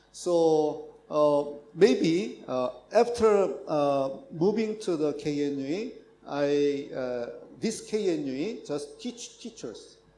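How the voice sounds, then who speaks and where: With a Korean accent, a man speaks very slowly at a fairly high pitch, his intonation lively amid audible room echo. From South Korea. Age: 60s. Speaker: professor. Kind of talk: conference talk. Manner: halting.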